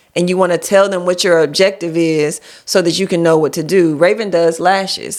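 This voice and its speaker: With an unremarkable speaking voice, a woman talks at a moderate pace using fairly even intonation. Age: 40s. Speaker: life insurance agent and business coach. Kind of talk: casual chat. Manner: explanatory, conversational.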